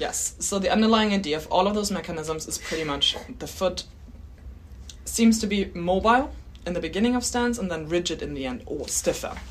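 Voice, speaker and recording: A woman with a German accent talks at a fairly quick pace. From Germany. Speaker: biomechanics researcher and PhD candidate. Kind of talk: interview, casual explanatory chat. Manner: laughs often, friendly.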